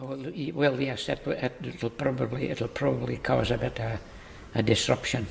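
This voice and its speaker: With noticeable background noise present, this man speaks at a moderate pace. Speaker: village resident. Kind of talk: interview answer.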